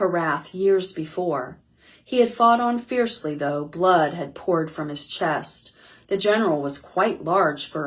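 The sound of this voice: Lively intonation in an unforced reading voice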